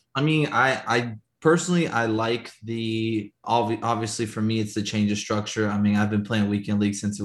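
A man with a plain, everyday voice talks at a moderate pace and fairly low pitch. The recording is very clean with a silent background. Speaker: FIFA player and streamer. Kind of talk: casual chat.

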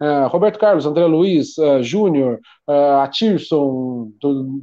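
In an unremarkable speaking voice, a man with fairly high pitch talks at a fairly slow pace with lively intonation. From Brazil, São Paulo state (Taubaté). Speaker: football coach and club director. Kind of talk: casual interview.

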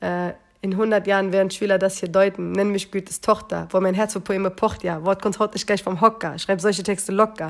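A woman with a medium pitch talks very fast on a very clean recording with a silent background. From Berlin, Wedding. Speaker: poetry slammer and rapper. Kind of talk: casual chat. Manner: animated.

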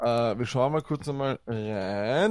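A man speaks with a Viennese accent. His pitch varies in an ordinary way. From Austria, Vienna. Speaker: fantasy football podcaster. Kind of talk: casual chat. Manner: talkative, fast.

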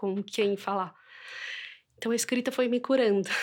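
On a very clean recording with a silent background, a woman with an unremarkable speaking voice talks at a fairly quick pace with ordinary pitch variation. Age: 30s. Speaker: mother and writer. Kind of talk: interview, personal testimony.

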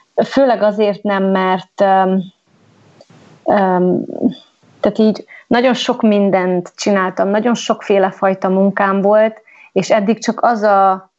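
Her speech unfolds at a very slow pace. This woman has a medium pitch and fairly even intonation. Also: long, frequent pauses, very even loudness. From Transylvania, Romania (Gyergyószentmiklós). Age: 30s. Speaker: podcast guest sharing life story. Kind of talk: casual interview, personal testimony.

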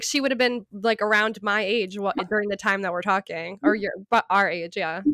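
Speaking at a fairly quick pace, a woman of medium pitch keeps her intonation fairly even. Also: fairly bright tone.

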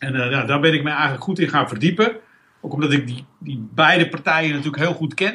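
A man talks in a fairly high pitch with a bright, sharp tone. He keeps a fairly quick pace. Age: 50s. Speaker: business owner and coach, former physiotherapist. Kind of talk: casual interview. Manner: halting, many fillers.

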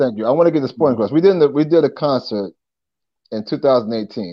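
A man with a New York accent, fairly quick in pace, with lively intonation. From Long Island, New York. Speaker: rapper and former TV host. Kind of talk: casual interview.

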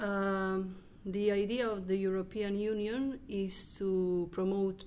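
A woman speaks with a Croatian accent at a medium pitch. There is audible room echo. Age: 20s. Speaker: exchange student. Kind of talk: group interview.

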